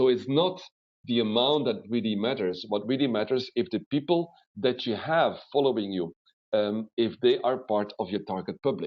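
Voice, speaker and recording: Lively intonation from a man with a Flemish accent, at a moderate pace. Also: medium pitch for a man. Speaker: webinar trainer. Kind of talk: webinar lecture. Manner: animated.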